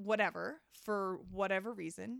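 In a North American accent, a woman speaks with ordinary pitch variation. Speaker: mother. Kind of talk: casual chat. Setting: hotel room.

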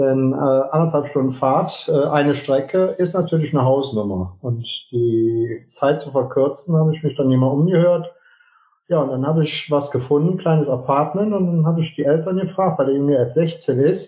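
A man speaks in a somewhat breathy voice at a fairly high pitch. His pace is moderate, with ordinary pitch variation. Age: 50s. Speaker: business owner, heating and plumbing company. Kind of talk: interview.

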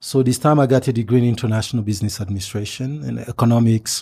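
A very fast, somewhat breathy man's voice of medium pitch and dark, mellow tone, on a very clean recording with a silent background. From DR Congo. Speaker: university lecturer and Africa analyst. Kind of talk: radio interview. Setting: radio studio. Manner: measured, with frequent um and uh fillers.

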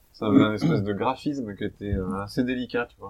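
Ordinary pitch variation marks this man's speech. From French Alps. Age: 30s. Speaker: podcast host for French learners. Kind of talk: casual chat. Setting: livestream from a cellar.

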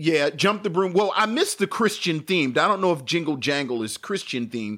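With an American accent and a very fast pace, a man speaks at a fairly high pitch with very wide pitch swings and vocal fry, in a very clean recording with a silent background. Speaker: podcast co-host. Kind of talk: casual chat. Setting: live stream.

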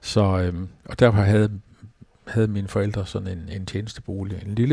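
In a dark, mellow tone with a fairly low pitch, a man speaks somewhat breathily at a moderate pace with monotone, flat intonation. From Denmark, Falster. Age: 70s. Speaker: retired pastor. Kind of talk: interview. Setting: at his home. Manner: hesitant, many fillers.

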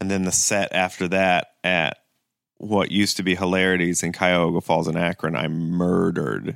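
A man with a very deep, low voice and an American accent speaks at a moderate pace in a flat monotone, recorded very cleanly against a silent background. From Ohio (Kent). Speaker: stand-up comedian and actor. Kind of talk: casual chat. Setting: in-person recording in Los Angeles.

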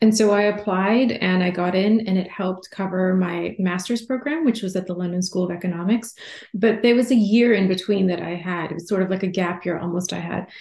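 With an American accent, a woman speaks at a medium pitch and a fairly quick pace, somewhat breathy, with ordinary pitch variation. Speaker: journalist and author. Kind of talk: interview. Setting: remote call.

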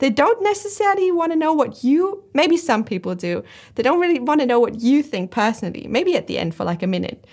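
In a German accent, a woman speaks at a very fast pace with a high pitch and very wide pitch swings. The recording is very clean, with a silent background. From Germany. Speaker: watch video creator. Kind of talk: casual interview.

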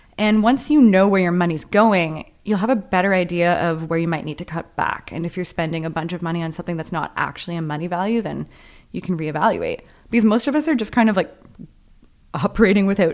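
A woman talks at a very fast pace. Her pitch is fairly low, with ordinary variation. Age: 20s. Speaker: podcast co-host. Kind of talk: interview; scripted narration.

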